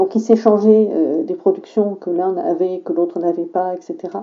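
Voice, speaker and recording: The voice is a normal speaking voice. It moves at a moderate pace with ordinary pitch variation. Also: woman. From southern France, rural. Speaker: teacher. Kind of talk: testimony.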